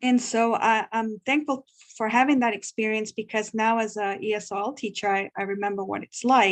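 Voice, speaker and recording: In a Spanish accent, a woman speaks at a moderate pace with a fairly high pitch and fairly even intonation, the sound dry and close with no echo. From Guatemala. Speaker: ESL teacher. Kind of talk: workshop discussion sharing. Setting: video call.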